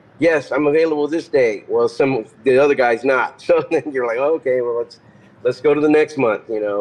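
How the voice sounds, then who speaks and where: A man's voice over noticeable background noise. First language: Spanish. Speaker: metal guitarist. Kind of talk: casual interview chat. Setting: remote call from his car.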